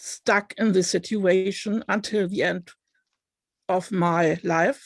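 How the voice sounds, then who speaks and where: With a non-native accent, a woman speaks at a medium pitch and a fairly even intonation, the sound dry and close with no echo. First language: not English. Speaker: online book club participant. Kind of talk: personal testimony.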